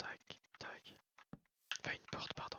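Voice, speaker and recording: A man whispers. His pace is fairly slow. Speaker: ASMR gaming creator. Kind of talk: gameplay commentary. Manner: whispered.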